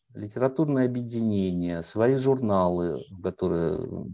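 Very slowly, a man speaks in a dark, mellow tone with lively intonation. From Russia, Volgograd. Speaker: writer and literary critic. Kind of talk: interview.

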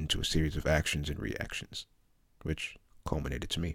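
A man speaks at a very deep, low pitch. Vocal fry runs through his voice. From London, England. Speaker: memoir author. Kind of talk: reading aloud.

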